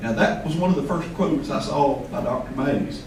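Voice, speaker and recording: A man with a Southern US accent speaks at a fairly quick pace in a fairly high pitch with lively intonation, over audible room echo and noticeable background noise. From US South. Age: 60s. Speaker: invited speaker at a poetry event. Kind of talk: speech to a live audience.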